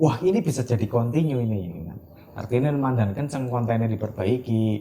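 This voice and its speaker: Speaking fairly quickly with a Central Javanese accent, a man comes through over noticeable background noise. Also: medium pitch for a man, ordinary pitch variation. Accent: Ngapak Javanese (Kebumen). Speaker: printing business owner, CEO. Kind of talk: interview answer.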